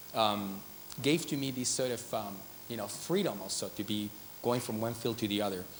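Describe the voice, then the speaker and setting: At a moderate pace, a man with a medium pitch and a Spanish accent speaks with ordinary pitch variation, and room echo can be heard. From Spain, Madrid. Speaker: artist and designer. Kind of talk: conference talk. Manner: hesitant, many fillers.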